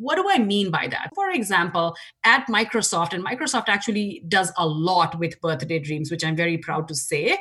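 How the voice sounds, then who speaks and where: A woman speaks at a moderate pace with an Indian accent. Noticeable background noise is present. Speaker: nonprofit board chair. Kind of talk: interview.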